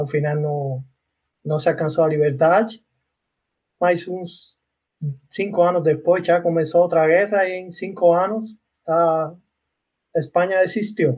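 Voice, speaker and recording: With a Cuban accent, a man speaks in a high voice with fairly even intonation at a fairly slow pace, leaving long, frequent pauses. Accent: Cuban Spanish accent, noticeable. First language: Spanish (speaking Portuguese). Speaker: university professor. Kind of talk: casual chat.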